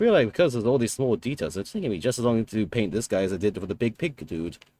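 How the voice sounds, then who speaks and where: A man's medium-pitched voice, dark and mellow in tone, with lively intonation and a very fast pace. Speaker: miniature painting streamer. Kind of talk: live stream painting commentary. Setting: live stream.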